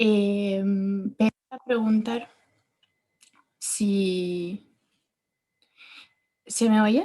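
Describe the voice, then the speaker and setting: Very slow delivery with long, frequent pauses, a dark, mellow tone and fairly even intonation. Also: woman, medium pitch for a woman. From Italy. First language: Italian (speaking Spanish). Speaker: architect, audience member. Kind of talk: audience question. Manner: halting, hesitant.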